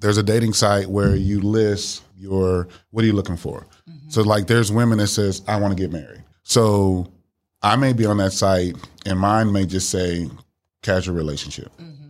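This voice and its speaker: A man speaks in a normal speaking voice with an American accent, his fairly low pitch moving with ordinary variation at a moderate pace while his loudness swings widely. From Miami, Florida. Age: 50s. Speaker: dating podcast guest. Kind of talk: casual chat.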